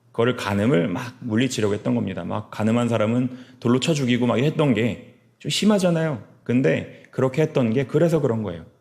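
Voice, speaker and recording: Vocal fry runs through a man's medium-pitched voice. He speaks at a fairly quick pace with lively intonation. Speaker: pastor. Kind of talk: sermon. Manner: fast.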